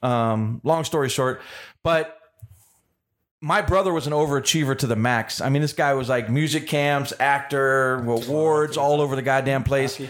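A man with a normal speaking voice, fairly high in pitch, with fairly even intonation, very even loudness and a moderate pace. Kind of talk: casual chat. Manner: casual, profane.

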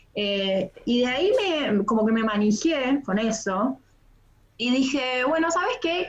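Her pitch varies in an ordinary way as this woman talks through noticeable background noise. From Argentina, Bariloche (Patagonia). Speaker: textile designer and comedian. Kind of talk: casual interview chat.

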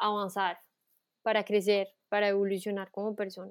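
Recorded very cleanly against a silent background, a woman speaks at a moderate pace with a medium pitch. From Colombia, Manizales. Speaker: mother telling her story. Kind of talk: casual interview.

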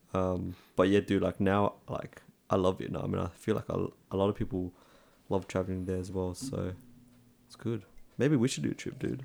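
With an Australian accent, a man speaks in a very deep, low voice at a moderate pace, with ordinary pitch variation. His loudness swings widely, and he leaves long, frequent pauses. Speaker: podcast co-host. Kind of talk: casual chat. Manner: casual, friendly.

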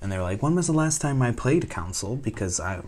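Lively intonation in a somewhat breathy male voice. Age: 20s. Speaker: vlogger studying abroad. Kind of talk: casual monologue vlog. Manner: animated.

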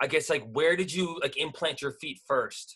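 A man speaks in a normal speaking voice at a fairly quick pace. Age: 20s. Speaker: podcast host. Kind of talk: casual interview.

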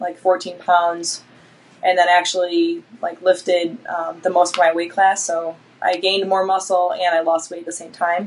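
A woman's medium-pitched voice at a moderate pace. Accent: Michigan. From Metro Detroit, Michigan, US. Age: 20s. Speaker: fitness influencer and personal trainer. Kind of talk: casual interview chat. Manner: hesitant, many fillers.

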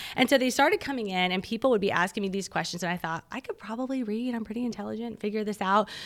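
Very fast and with hardly any pauses, a woman speaks in a fairly high pitch with ordinary pitch variation. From military brat, born in Japan. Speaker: realtor. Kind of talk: casual chat.

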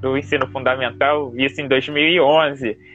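A man's voice with music in the background. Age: 20s. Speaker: podcast host. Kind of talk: casual chat.

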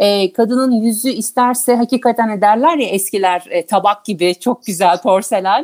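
In a normal speaking voice, a woman with a fairly high pitch keeps her loudness very even and hardly pauses, heard in a dry, close sound with no echo. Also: ordinary pitch variation, moderate pace. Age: 40s. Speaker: podcast host. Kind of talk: interview.

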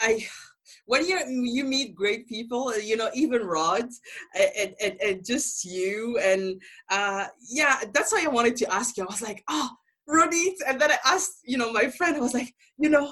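This woman's high voice moves through very wide pitch swings. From Algeria / France. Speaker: podcast host, mindset coach. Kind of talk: interview. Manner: animated; halting, many fillers.

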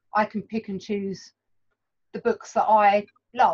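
Fairly high-pitched and somewhat breathy, a woman speaks at a fairly slow pace with fairly even intonation, the sound dry and close with no echo. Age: 40s. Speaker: bookshop owner and tutor. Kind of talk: casual interview.

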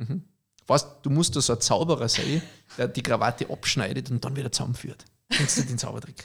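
Vocal fry runs through a man's fairly quick speech, which has ordinary pitch variation and long, frequent pauses. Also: medium pitch for a man. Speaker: podcast co-host. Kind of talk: casual chat.

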